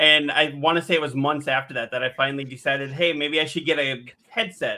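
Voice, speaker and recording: Speaking very fast, a man with an American accent uses a fairly high pitch and fairly even intonation. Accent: Midwestern US, often called thick. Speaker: gaming streamer and podcast co-host. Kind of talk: casual chat.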